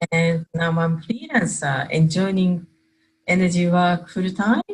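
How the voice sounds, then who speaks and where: A woman speaks with a Japanese accent. Her pitch is fairly low. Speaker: energy work facilitator. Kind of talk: casual chat. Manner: halting, non-native phrasing.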